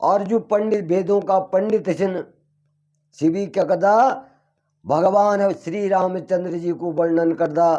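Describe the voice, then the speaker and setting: A dark, mellow tone with fairly even intonation. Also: man, high pitch for a man. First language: Garhwali (speaking Hindi). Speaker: religious storyteller. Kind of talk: religious discourse.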